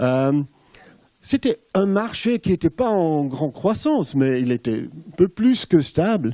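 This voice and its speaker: In a Swiss German accent, a man speaks at a very slow pace with a high pitch and a dark, mellow tone. His pitch swings very widely. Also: dry, close sound with no echo. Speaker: former advertising executive turned cheese entrepreneur. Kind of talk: conference talk. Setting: stage with audience. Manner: halting.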